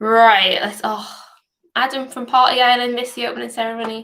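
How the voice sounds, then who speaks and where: A woman with a bright, sharp tone and fairly high pitch talks at a moderate pace. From northeast England, Newcastle upon Tyne. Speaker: hackathon coach. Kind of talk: livestream Q&A. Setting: online livestream. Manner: casual, chatty.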